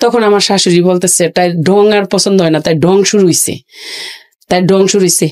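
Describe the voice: A woman with a fairly low pitch and a slightly mellow tone talks at a moderate pace. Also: fairly even intonation.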